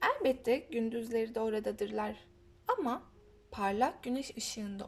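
Aloud and in a natural voice, the speaker reads.

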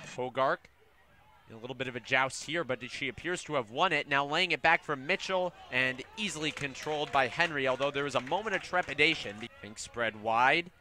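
Over noticeable background noise, a man talks at a fairly quick pace, his fairly high pitch showing ordinary variation. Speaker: sports commentator. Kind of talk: live play-by-play commentary of a women's soccer match. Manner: animated, quick, excited on goals and big saves; fluent and descriptive, calling the action as it happens.

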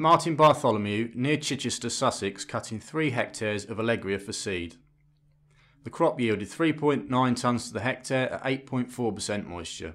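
A medium-pitched man with a British accent and lively intonation at a moderate pace, on a very clean recording with a silent background. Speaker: news presenter. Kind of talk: formal newsreading of farming and harvest report. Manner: formal; measured, even, brisk delivery of figures.

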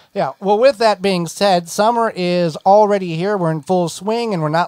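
At a moderate pace, a man talks in a high pitch with an upbeat tone and ordinary pitch variation, the sound dry with no echo over a quiet background. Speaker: radio host. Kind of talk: radio show patter. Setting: studio. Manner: conversational, upbeat, chatty. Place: studio.

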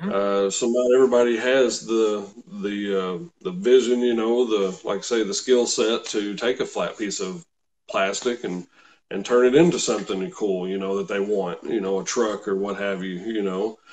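A man talks at a moderate pace. His pitch is fairly low, with ordinary variation. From Kentucky. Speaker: car salesman and RC scale model builder; car salesman. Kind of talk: interview, casual chat. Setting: live video call. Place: home room. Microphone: webcam.

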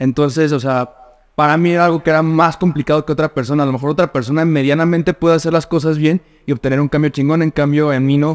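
A man's fairly high, monotone voice at a very fast pace, with flat intonation, very even loudness and a quiet background. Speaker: nutritionist and fitness coach; fitness coach. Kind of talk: casual chat. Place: home room.

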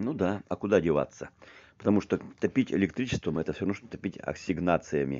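Lively intonation colors speech delivered at a fairly quick pace. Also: man, very deep, low pitch for a man. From Siberia, Krasnoyarsk region. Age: 50s. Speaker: video blogger. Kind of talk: walking tour vlog narration. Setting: outdoors, walking in town. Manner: halting, repetitive.

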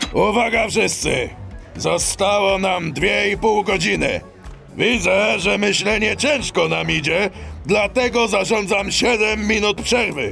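A man uses a put-on character voice at a high pitch and a fairly slow pace. Music plays clearly in the background. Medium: audio drama. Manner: brusque, bossy.

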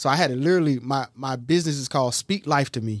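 Fairly even intonation comes through a dry, close sound with no echo on a very clean recording with a silent background. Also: man. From Eastern North Carolina. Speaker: life coach and podcast host. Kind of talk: casual chat. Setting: studio.

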